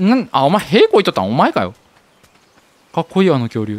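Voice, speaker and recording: In a Kansai accent, a man speaks with a dry, close sound with no echo. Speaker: game streamer. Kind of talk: casual gameplay commentary.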